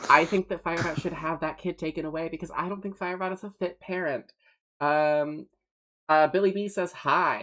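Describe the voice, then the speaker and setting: The speaker has a slight Southern US accent. The pace is moderate. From US South. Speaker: streamer. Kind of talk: casual chat. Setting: livestream from a new, not yet set up studio.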